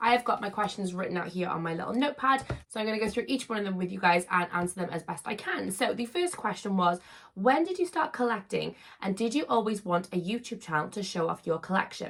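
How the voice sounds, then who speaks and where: Rushing at a very fast pace, a woman with a medium-pitched voice and lively intonation speaks over noticeable background noise. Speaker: YouTuber, collector. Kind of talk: casual vlog Q&A.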